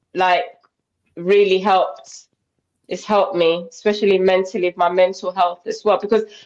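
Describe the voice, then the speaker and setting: In a British accent, a woman talks at a moderate pace. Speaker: interview guest on weight loss. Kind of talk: casual interview chat.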